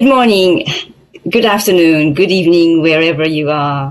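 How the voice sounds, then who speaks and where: With a Japanese accent, a woman speaks in a fairly low pitch and ordinary pitch variation. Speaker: accountant and audit partner. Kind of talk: presentation. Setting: video call with screen share.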